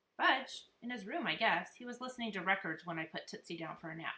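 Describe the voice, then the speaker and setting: Using a put-on character voice, a woman talks at a very fast pace with medium pitch and lively intonation. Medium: read story.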